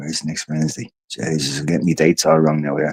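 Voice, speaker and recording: A man with an Irish accent talks in a dark, mellow tone. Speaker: podcast host and activist. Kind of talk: casual livestream chat. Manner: fast; rambling, halting.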